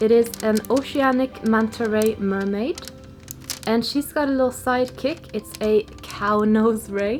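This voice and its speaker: Over music in the background, a woman with a fairly high pitch speaks in a relaxed tone at a fairly slow pace with fairly even intonation. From Norway. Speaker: small business artist vlogger. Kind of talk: casual chat. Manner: relaxed, chatty.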